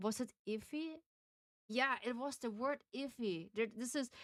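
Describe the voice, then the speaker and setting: A woman with a strong Austrian accent talks at a fairly slow pace with ordinary pitch variation, recorded in a dry, close sound with no echo. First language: German. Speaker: game streamer. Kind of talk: casual live-stream chat while reading game text aloud. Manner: halting, with frequent self-corrections.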